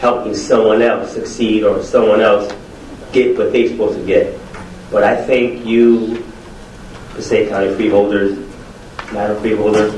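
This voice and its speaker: There is noticeable background noise and audible room echo as a man with an American accent speaks at a moderate pace, leaving long, frequent pauses. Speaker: educator and preacher, award honoree. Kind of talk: acceptance speech. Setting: podium before a live audience.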